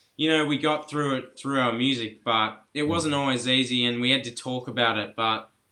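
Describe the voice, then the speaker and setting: With an Australian accent, a man speaks at a moderate pace with hardly any pauses. His medium-pitched voice holds a fairly even intonation. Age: young. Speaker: musician. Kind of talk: interview answer.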